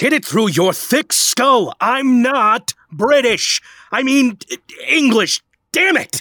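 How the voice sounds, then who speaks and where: Putting on a character voice, a man speaks at a very slow pace in a shrill, extremely high pitch. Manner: screeching, angry.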